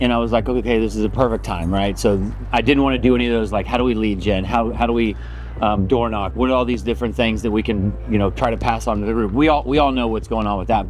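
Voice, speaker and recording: A man talks loudly at a very fast pace. Audible room echo and noticeable background noise fill the recording. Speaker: realtor. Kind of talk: talk to a group of agents. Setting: outdoors, speaking to a group. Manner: casual, hesitant with many ums.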